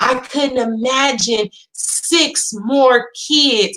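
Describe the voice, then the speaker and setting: A woman's high-pitched voice comes across with an animated, bright, sharp tone. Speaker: YouTube commentator. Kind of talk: casual vlog rant. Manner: loud.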